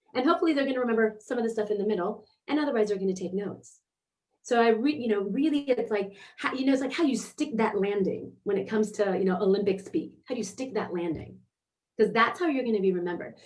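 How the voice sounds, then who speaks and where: A woman with a fairly high pitch, an animated tone and lively intonation, talking at a very fast pace. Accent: American. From United States. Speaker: performer and presence coach. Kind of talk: live online workshop talk.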